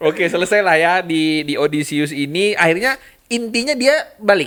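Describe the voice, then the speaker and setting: The intonation of this man is lively. His voice is high in pitch. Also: moderate pace. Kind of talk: casual podcast conversation.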